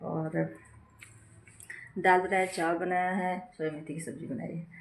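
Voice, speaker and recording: A woman's fairly low-pitched voice at a moderate pace, monotone with flat intonation. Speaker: family vlogger, homemaker. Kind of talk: casual vlog talk. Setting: at home.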